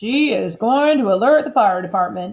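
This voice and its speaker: A woman's put-on character voice, fairly high in pitch, with lively intonation at a moderate pace. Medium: read story. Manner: blustering.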